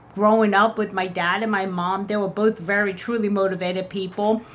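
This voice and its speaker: Amid noticeable background noise, a woman of medium pitch speaks in an animated tone. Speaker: beauty vlogger. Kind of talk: casual vlog talk. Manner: fast.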